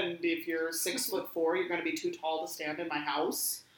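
A woman with an American accent speaks at a fairly quick pace in a fairly low pitch. Noticeable background noise is present. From US Midwest (northern Wisconsin). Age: 20s. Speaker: conservation detection dog trainer. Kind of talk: casual chat. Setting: in person at a home. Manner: fast.

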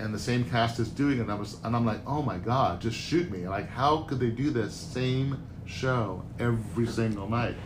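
Someone with an American accent talks at a moderate pace with hardly any pauses and ordinary pitch variation, with audible room echo. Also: man, medium pitch for a man. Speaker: Broadway producer. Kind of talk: interview.

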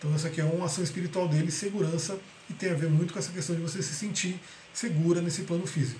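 Amid noticeable background noise and audible room echo, a high-pitched man races along at a very fast pace with fairly even intonation. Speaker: holistic therapy teacher. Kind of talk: live online class. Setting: video call.

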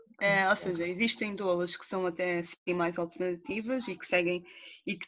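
This is a woman speaking. Her pace is moderate. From Portugal, Cascais (Angolan family). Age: 30s. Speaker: doula. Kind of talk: personal testimony in interview. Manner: hesitant, many fillers.

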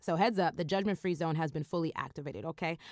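A woman speaks in an animated tone. The recording is very clean and the background silent. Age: 30s. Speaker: podcast host. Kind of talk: casual monologue.

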